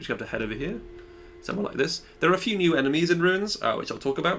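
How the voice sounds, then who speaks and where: This man's high-pitched voice has a bright, sharp tone and lively intonation. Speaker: gaming youtuber. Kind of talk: tutorial. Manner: fast.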